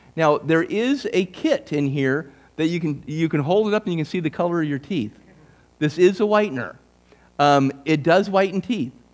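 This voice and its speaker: Intonation is lively as this man speaks at a moderate pace. His pitch is high for a man. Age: 60s. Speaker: speaker presenting a talk at a church. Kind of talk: sales pitch. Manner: casual, conversational.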